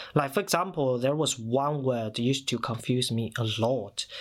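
A man with a Chinese accent speaks at a fairly slow pace, with a medium pitch and ordinary pitch variation, on a very clean recording with a silent background. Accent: Mandarin Chinese-accented English. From China. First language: Mandarin Chinese. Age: 30s. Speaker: podcast collective member. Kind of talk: personal storytelling.

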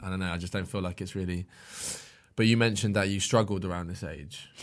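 A man with a British accent, fairly quick pace and fairly even intonation. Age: 20s. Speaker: podcast host. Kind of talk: casual chat.

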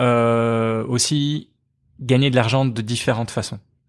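A man speaks very slowly at a medium pitch, with ordinary pitch variation. The recording is very clean, with a silent background. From Belgium, Liège. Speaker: cartoonist. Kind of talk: casual interview.

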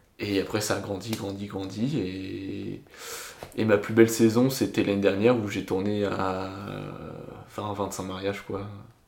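A man speaks at a fairly slow pace in a fairly low, monotone, flat voice. Audible room echo and noticeable background noise are present. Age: 20s. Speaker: DJ. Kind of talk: casual chat.

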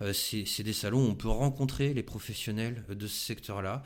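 Speaking at a moderate pace, this man has a medium pitch. His pitch variation is ordinary. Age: 40s. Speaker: RSE consultant, entrepreneur. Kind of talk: interview. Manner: halting.

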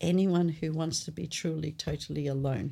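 This woman has an Australian accent and a fairly low pitch. Her tone is dark and mellow, with ordinary pitch variation. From North Macedonia, moved to Australia at eight. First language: Macedonian. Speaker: anthropologist. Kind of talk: interview conversation.

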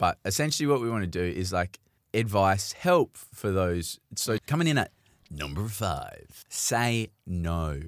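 Someone with an Australian accent speaks fairly slowly with lively intonation on a very clean recording with a silent background. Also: man, fairly low pitch for a man, big swings in loudness. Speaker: podcast host. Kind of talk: casual chat. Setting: studio. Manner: loud.

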